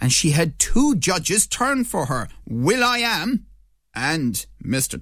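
Vocal fry runs through this man's voice. His pitch swings very widely. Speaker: radio host. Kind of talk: radio interview.

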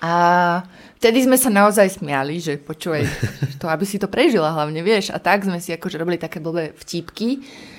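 A woman speaks in a normal speaking voice at a fairly low pitch and moderate pace. Her pitch variation is ordinary. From Slovakia, Prievidza. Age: 30s. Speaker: poet and radio presenter. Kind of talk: casual interview.

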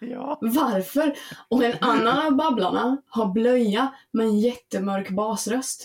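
A woman with a fairly high pitch speaks very slowly. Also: ordinary pitch variation. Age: 30s. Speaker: podcast guest. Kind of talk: casual chat.

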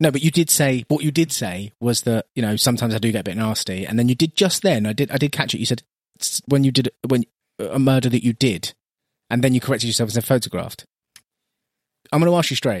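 In a dry, close sound with no echo, a man talks at a very fast pace in a medium pitch with ordinary pitch variation. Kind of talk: casual chat.

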